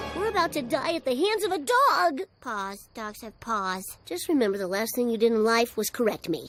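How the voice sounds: A cartoonish character voice with a fairly high pitch moves at a moderate pace. Faint music plays in the background.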